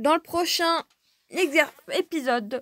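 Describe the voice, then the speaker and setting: With ordinary rises and falls in pitch, a woman's voice comes across dry and close, without any echo. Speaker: gaming YouTuber. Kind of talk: video outro, casual talk to viewers.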